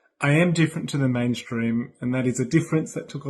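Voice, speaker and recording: Against a quiet background, the speaker talks in an Australian accent with ordinary pitch variation. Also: man. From Australia, Brisbane. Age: 30s. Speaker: sign language interpreter. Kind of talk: recorded video greeting.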